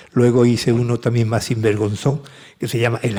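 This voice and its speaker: Somewhat breathy, a man speaks at a medium pitch. His pace is moderate. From Seville, Andalusia, Spain. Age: 70s. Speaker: author and music producer. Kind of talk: interview conversation at a book talk. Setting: conference with audience.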